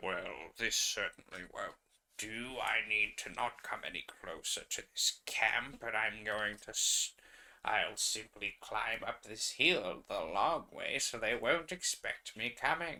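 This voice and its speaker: A man's put-on character voice, medium in pitch, at a fairly slow pace. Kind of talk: formal, old-fashioned. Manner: dramatic, scheming.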